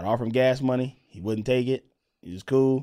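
Fairly quick in pace, a plain, everyday voice carries ordinary pitch variation. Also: man. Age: 30s. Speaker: comedian and podcast co-host. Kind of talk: casual chat.

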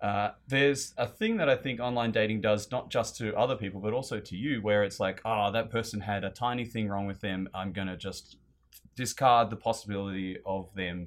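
Fairly low male voice in an Australian accent, fairly quick pace, fairly even intonation, very clean recording with a silent background. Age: 30s. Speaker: guest. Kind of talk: casual chat.

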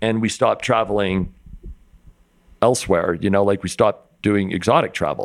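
Fairly low in pitch, a man is speaking. He has an ordinary speaking voice. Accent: American. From Utah. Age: 50s. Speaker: rock climber and photographer. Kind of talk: casual interview. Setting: climbing company warehouse.

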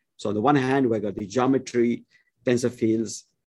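A man speaks at a medium pitch with vocal fry in his voice. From India. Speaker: physics professor. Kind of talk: interview. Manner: halting.

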